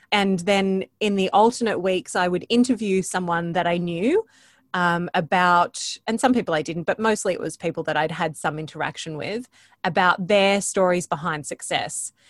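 A woman with an Australian accent speaks at medium pitch and a moderate pace, with ordinary pitch variation, in a dry, close recording with no echo and a quiet background. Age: 40s. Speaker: podcaster and voice coach. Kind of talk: interview conversation.

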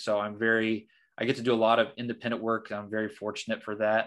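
In a Midwestern American accent, a man speaks at a medium pitch with monotone, flat intonation, on a very clean recording with a silent background. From southern Indiana. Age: 20s. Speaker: career consultant. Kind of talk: interview.

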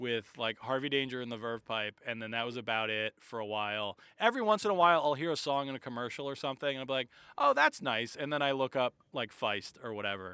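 With a plain, everyday voice at medium pitch, a man speaks at a fairly quick pace with lively intonation. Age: 30s. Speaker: comedian. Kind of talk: casual chat.

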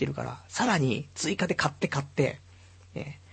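A man talks with vocal fry. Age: 30s. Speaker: internet radio host. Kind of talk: casual solo talk. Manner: rambling, filler-heavy.

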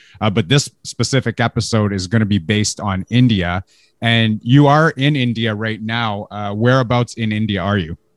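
A man with a Canadian accent, fairly low pitch, ordinary pitch variation, moderate pace, and a normal speaking voice, on a very clean recording with a silent background and a dry, close sound with no echo. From Canada. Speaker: podcast host. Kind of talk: casual interview.

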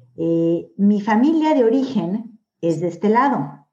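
Dark and mellow in tone, this voice unfolds at a very slow pace. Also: woman. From Mexico. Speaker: author. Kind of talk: interview.

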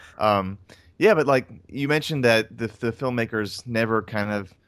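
A man with an American accent at a fairly low pitch, moderate pace and ordinary pitch variation, in a very clean recording with a silent background. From North Carolina. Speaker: film podcast co-host. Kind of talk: casual chat. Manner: animated.

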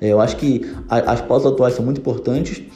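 Music plays in the background and the room echoes audibly. A man speaks at a fairly quick pace. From Brazil, Rio de Janeiro. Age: 30s. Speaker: marketing agency owner. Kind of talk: podcast interview.

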